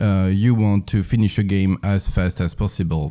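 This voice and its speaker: In a French accent, a man with a fairly low pitch and a dark, mellow tone speaks at a very slow pace. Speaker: speedrun lecturer. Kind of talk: lecture. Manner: halting, many fillers.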